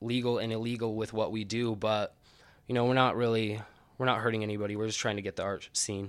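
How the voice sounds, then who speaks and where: Speaking at a very fast pace with an American accent, a man of medium pitch keeps his intonation monotone and flat. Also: very clean recording, silent background. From Utah, Ogden. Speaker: artist and art zine publisher. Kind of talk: casual interview.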